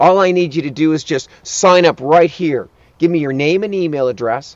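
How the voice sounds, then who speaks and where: In a dry sound with no echo, a man speaks at a moderate pace and fairly high pitch, with ordinary pitch variation. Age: 50s. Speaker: life coach. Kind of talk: motivational talk; sales pitch. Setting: outdoors. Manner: urgent. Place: open country.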